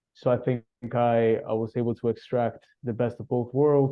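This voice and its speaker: Speaking in a Spanish accent, a man keeps to a medium pitch. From Cuba (Havana). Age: 30s. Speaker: relationship coach. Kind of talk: interview conversation.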